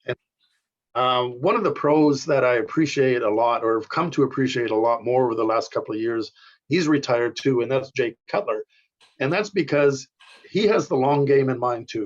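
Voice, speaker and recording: At a moderate pace, an ordinary speaking voice moves with ordinary pitch variation. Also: man, medium pitch for a man. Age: 60s. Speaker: competitive bodybuilder. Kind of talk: casual chat.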